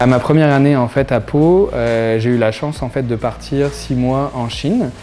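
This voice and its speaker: Over noticeable background noise, a man speaks at a medium pitch and fairly slow pace with ordinary pitch variation. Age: 30s. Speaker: entrepreneur. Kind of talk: interview testimony. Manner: hesitant, many fillers.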